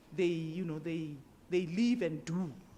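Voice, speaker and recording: A woman speaks at a fairly low pitch. Room echo is audible. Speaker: professor. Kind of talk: conference discussion comment. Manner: halting, many repetitions.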